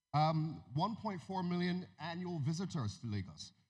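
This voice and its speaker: A man's fairly high voice with lively intonation and an American accent. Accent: American-tinged Nigerian English. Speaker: music industry executive. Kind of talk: conference talk. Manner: halting.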